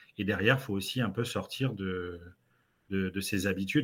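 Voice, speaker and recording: A man talks at a moderate pace with a fairly low pitch. His pitch variation is ordinary. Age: 30s. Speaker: sales trainer. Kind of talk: casual interview.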